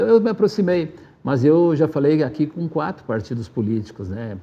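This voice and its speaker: With a dark, mellow tone, a man speaks at a fairly high pitch that swings very widely. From southern Brazil, Rio Grande do Sul (Marau). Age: 60s. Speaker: former city council president, community radio worker. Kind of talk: interview.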